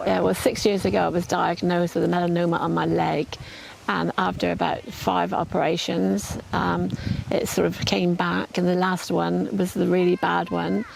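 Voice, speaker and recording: Speaking at a moderate pace, a woman keeps her loudness very even. Noticeable background noise is present. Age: 80s+. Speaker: cancer patient. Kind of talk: testimony. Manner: halting, repeats words.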